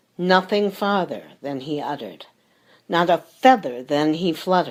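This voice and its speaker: At a fairly slow pace, a woman with an unremarkable speaking voice talks with lively intonation. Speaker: voice actor. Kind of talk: poetry reading.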